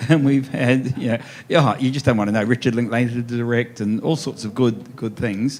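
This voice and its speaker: With an Australian accent, a man speaks at a medium pitch with fairly even intonation. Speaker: author. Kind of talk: author talk at festival event. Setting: stage with audience. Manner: fast.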